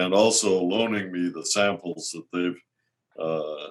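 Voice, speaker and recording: Very deep and low, a man's voice comes in an American accent. He goes at a fairly slow pace with fairly even intonation. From US Midwest, Minnesota. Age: 80s+. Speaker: retired laser scientist and gem researcher. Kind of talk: webinar interview.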